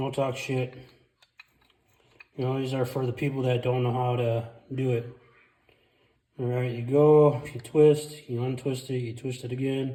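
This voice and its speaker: Somewhat breathy male speech, dark and mellow in tone, monotone and flat, at a moderate pace with long, frequent pauses. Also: medium pitch for a man. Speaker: car DIY mechanic. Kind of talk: casual car repair tutorial. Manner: speech affected by brain injury.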